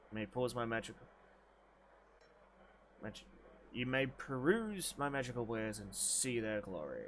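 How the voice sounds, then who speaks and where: Using a put-on character voice, a man mumbles at a moderate pace in a medium pitch, with long, frequent pauses. Clear background noise is present. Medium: actual play. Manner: mumbling, scattered.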